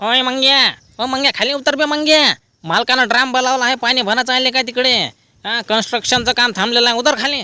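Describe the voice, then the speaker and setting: At a moderate pace, a man does a put-on character voice at an extremely high pitch, on a very clean recording with a silent background. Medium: voice reel. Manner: colloquial, chatty.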